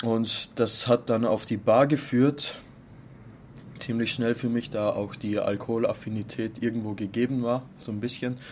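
A man speaks fairly slowly at a medium pitch, his intonation monotone and flat. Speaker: bartender. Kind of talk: interview. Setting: bar.

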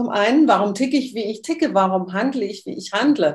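A woman speaks with a somewhat breathy voice, fairly high in pitch, with lively intonation. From Switzerland. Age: 60s. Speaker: human design workshop leader. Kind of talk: interview.

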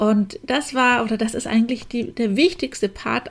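Fairly slow speech from a woman with a Franconian accent, fairly high in pitch, with ordinary pitch variation. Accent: Franconian dialect, rolled R. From Franconia, Germany. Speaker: cosmetician and podcast host. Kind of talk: podcast monologue.

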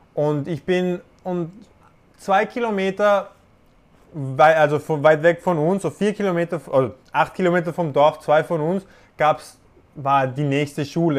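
This man speaks at a moderate pace. He leaves long, frequent pauses. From Panama. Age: 20s. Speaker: boxer. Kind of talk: casual interview. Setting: remote call from his apartment. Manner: halting, many fillers and restarts.

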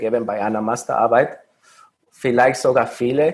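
A man's fairly slow delivery in a Mexican accent. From Mexico. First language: Spanish (speaking German). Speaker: recent master's graduate. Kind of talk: interview. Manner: halting, with fillers.

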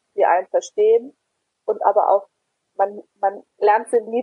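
A woman with a medium pitch speaks fairly slowly, her intonation fairly even. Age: 20s. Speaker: patient volunteer. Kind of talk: interview. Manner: hesitant, frequent fillers.

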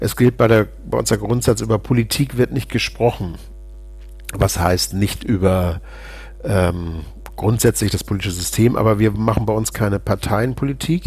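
A man with a fairly low voice and ordinary pitch variation speaks at a moderate pace, leaving long, frequent pauses. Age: 50s. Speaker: politician, member of parliament. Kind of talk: podcast interview.

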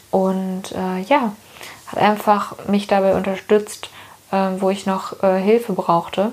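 Noticeable background noise runs under a woman's voice. She speaks at a very slow pace with monotone, flat intonation. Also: medium pitch for a woman. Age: 20s. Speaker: podcast host, new mother. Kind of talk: casual chat. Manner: hesitant, many fillers.

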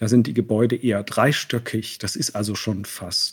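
Somewhat breathy speech is heard. The pace stays moderate. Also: man. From East Germany, Leipzig and East Berlin. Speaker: painter, visual artist. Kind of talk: interview. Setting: remote call from Berlin.

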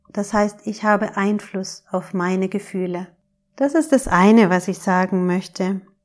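A woman has an ordinary speaking voice, a medium pitch, and ordinary pitch variation, speaking at a fairly slow pace on a very clean recording with a silent background. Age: 40s. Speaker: podcast host, emotions coach. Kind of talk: solo podcast monologue, advice talk.

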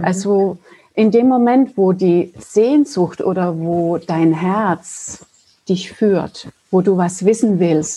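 A woman speaks very slowly at a medium pitch. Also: ordinary pitch variation. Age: 50s. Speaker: spiritual healer. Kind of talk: casual interview chat. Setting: video call.

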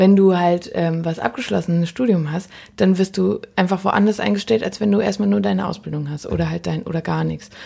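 A woman's fairly low, dark, mellow voice, somewhat breathy, at a fairly quick pace. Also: lively intonation. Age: 20s. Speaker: podcast host and musician. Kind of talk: casual chat. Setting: kitchen.

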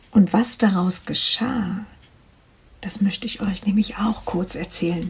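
This woman talks at a very slow pace with a medium pitch and fairly even intonation. Noticeable background noise can be heard. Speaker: life coach podcaster. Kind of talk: personal testimony monologue.

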